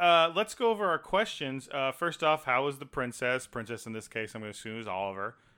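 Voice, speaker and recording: With an American accent, a man talks at a fairly quick pace with hardly any pauses and big swings in loudness. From Texas. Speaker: podcast co-host. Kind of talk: casual chat.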